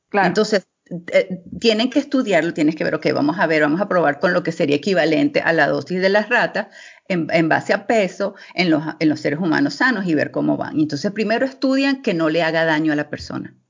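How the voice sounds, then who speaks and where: Lively intonation marks this woman's fairly low-pitched voice. She keeps a fairly quick pace. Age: 40s. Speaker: clinical pharmacology expert. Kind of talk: interview. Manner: halting.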